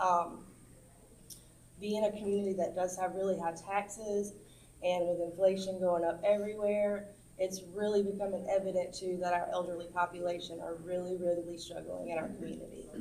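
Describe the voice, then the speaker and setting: A woman speaks in a medium pitch at a moderate pace. Her intonation is monotone and flat, with audible room echo. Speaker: community activist. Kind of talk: informal talk to senior center audience. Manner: hesitant, many fillers.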